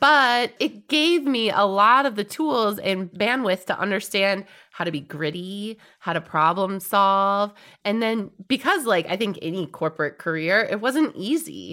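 In a very clean recording with a silent background, a woman with an American accent talks at a fairly slow pace, her medium-pitched voice bright and sharp in tone with lively intonation. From US Midwest, Wisconsin. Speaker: cannabis company founder and podcast co-host. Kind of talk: casual chat.

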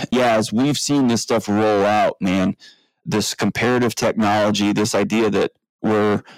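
An ordinary speaking voice at a moderate pace, with a dry, close sound with no echo and a very clean recording over a silent background. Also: man. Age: 40s. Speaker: mental health expert and author. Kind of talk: interview. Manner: casual.

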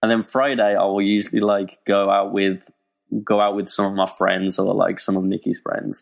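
A man with an English accent speaks in a monotone, flat intonation at a fairly low pitch. The recording is very clean, with a silent background. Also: moderate pace. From Birmingham, England. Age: 20s. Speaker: web developer. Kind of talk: casual chat.

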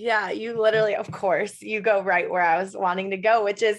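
In an American accent, a woman at medium pitch speaks at a moderate pace in an animated tone. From Michigan, US. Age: 20s. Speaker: occupational therapist and health coach. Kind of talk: casual chat.

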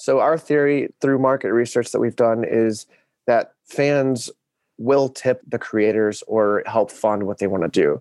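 A man with an American accent and a plain, everyday voice talks at a fairly slow pace with ordinary pitch variation, in a dry, close sound with no echo. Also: medium pitch for a man. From Arkansas, US South. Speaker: startup community lead and aspiring actor. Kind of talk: interview.

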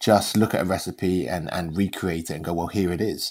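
Recorded very cleanly against a silent background, a man with a London accent speaks at a moderate pace with fairly even intonation. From London, England. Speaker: chef. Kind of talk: casual chat. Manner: halting.

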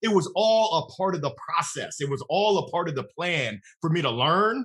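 A man's raised, projected voice has a bright, sharp tone. He sounds energetic, his pitch swinging very widely. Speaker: sales leader. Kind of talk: casual interview. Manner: loud.

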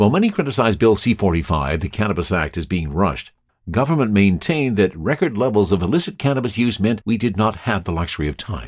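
A man's fairly low voice with a Canadian accent, very fast, with very wide pitch swings, on a very clean recording with a silent background. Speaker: podcast host and cannabis enthusiast. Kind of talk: casual podcast monologue.

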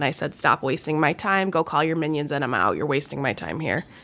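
A woman with an American accent speaks in a very deep, low pitch with vocal fry, on a very clean recording with a silent background. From Rochester area, US Northeast. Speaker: resume writing business owner. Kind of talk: casual interview.

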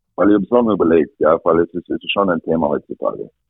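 A man speaks with an English accent. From Canada, rural Alberta. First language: English (speaking German). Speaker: ice hockey coach. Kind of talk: interview.

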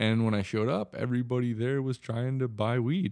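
With a slight Wisconsin accent, a man talks at a fairly quick pace and a medium pitch in a very clean recording with a silent background. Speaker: cannabis business owner. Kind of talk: casual interview.

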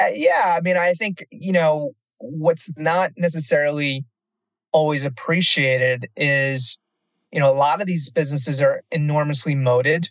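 A man speaks in a normal speaking voice, fairly high-pitched for a man, with ordinary pitch variation and a dry, close sound with no echo. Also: moderate pace. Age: 40s. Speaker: cannabis industry executive. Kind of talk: interview. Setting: on the road.

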